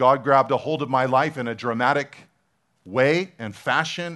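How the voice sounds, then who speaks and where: An unremarkable speaking voice from a man at medium pitch, with ordinary pitch variation and a quiet background. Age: 40s. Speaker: pastor. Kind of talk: sermon.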